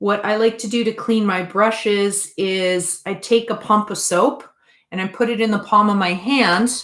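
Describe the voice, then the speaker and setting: A woman talks in a plain, everyday voice. Her medium pitch, moderate pace and fairly even intonation hold throughout. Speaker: art teacher. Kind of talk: online class tutorial. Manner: casual.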